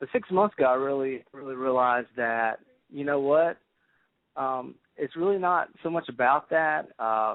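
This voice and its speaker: Speaking in a Southern US accent, a man keeps a moderate pace. His pitch sits fairly high. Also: ordinary pitch variation. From South Carolina Midlands. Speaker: grassroots political activist. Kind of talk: radio talk show interview. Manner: halting.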